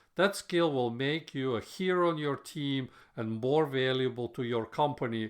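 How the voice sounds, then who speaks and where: At a moderate pace, a man with a non-native accent speaks at a medium pitch with ordinary pitch variation. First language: not English. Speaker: software developer podcaster. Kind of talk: solo podcast monologue.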